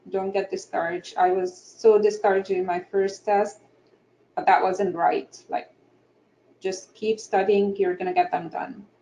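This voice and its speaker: A woman speaks with an Egyptian accent. Her pace is moderate. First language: Egyptian Arabic. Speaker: architect and panelist. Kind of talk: panel discussion. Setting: online webinar.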